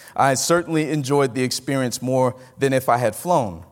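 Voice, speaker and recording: This man's voice sits at a medium pitch. He talks in a Southern US accent. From Mississippi. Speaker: pastor. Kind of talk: conference talk. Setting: stage with audience.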